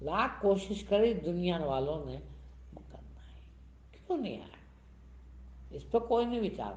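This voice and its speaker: A man's voice with audible room echo. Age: 70s. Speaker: spiritual teacher. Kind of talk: sermon. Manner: animated.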